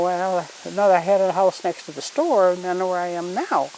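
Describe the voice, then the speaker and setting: This woman's voice has a medium pitch. Behind it sits noticeable background noise. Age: 80s+. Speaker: grandmother teaching children about wildflowers. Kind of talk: casual teaching talk to children. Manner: halting, with many restarts.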